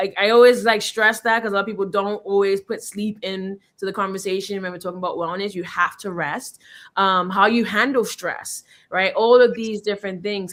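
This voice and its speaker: A woman with a plain, everyday voice speaks at a medium pitch and fairly even intonation on a very clean recording with a silent background. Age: 30s. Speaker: genetics scientist. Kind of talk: interview.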